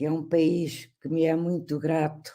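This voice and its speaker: Very deep and low, with a dark, mellow tone, a woman speaks very slowly in a European Portuguese accent amid audible room echo. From Portugal. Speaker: history professor. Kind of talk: lecture.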